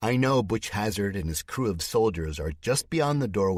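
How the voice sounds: Lively intonation marks the natural reading voice heard here.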